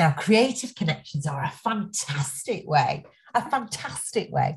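A somewhat breathy woman's voice with an enthusiastic tone and very wide pitch swings. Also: quiet background. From England, Nottingham; England. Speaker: education speaker, former social worker; speaker. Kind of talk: webinar presentation. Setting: online webinar. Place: home room. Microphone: webcam.

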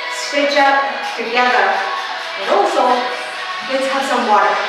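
Clear music plays behind a woman whose voice carries audible room echo. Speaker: fitness instructor. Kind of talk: workout class instruction. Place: home room.

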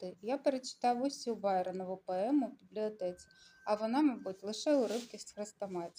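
This is plain reading aloud.

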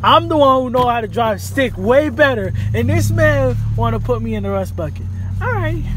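A man is speaking. The sound is dry with no echo, but background noise is noticeable. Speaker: vlogger. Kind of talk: casual vlog chat.

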